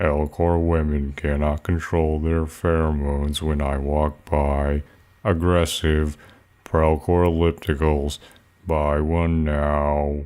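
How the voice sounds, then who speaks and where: In a put-on character voice, a man speaks fairly slowly with a very deep, low pitch and monotone, flat intonation. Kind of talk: TV commercial read. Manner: slow, monotone.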